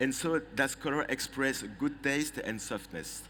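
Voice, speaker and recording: A man with a French accent speaks fairly slowly in a bright, sharp tone, with audible room echo. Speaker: trend forecaster. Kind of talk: presentation. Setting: conference stage with audience. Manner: halting.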